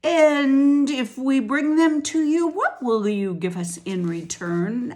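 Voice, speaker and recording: A woman puts on a gruff, growling character voice pitched high. She speaks at a fairly slow pace. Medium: read story. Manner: growling, gruff.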